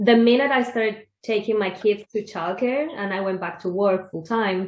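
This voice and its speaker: With a Spanish accent, a woman speaks at a medium pitch. Her pace is moderate, and her pitch variation is ordinary. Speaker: podcast host. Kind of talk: interview conversation.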